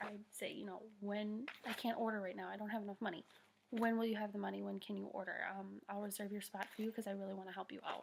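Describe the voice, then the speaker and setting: A soft-spoken woman at a medium pitch, talking at a very fast pace. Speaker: network marketing team leader. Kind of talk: tutorial. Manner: soft-spoken, talking quietly; casual, filler-heavy.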